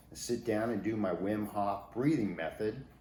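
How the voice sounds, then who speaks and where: A fairly slow, medium-pitched male voice in audible room echo. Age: 60s. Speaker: fitness enthusiast interviewed in documentary. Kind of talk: casual documentary talk.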